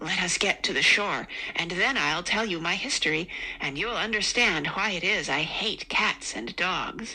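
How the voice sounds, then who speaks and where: Shaky and at a moderate pace, a woman puts on a character voice at medium pitch over light background noise. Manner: pale with passion, emotional.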